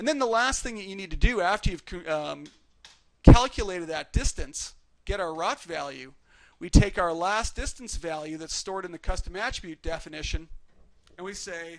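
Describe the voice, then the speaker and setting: A man's high-pitched voice at a moderate pace, with lively intonation, big swings in loudness and long, frequent pauses. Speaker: 3D rigging instructor. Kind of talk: live tutorial master class. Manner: halting.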